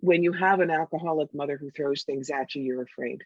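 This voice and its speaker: A woman with a very deep, low pitch and ordinary pitch variation is heard in a dry, close sound with no echo. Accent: American. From New York. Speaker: psychic and intuitive counselor. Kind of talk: podcast interview. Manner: fast.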